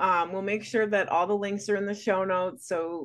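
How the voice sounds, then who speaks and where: Her pitch sits in the medium range for a woman, with fairly even intonation. This woman has a normal speaking voice and speaks at a moderate pace against a quiet background. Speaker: podcast host. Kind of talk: podcast interview, host intro and questions.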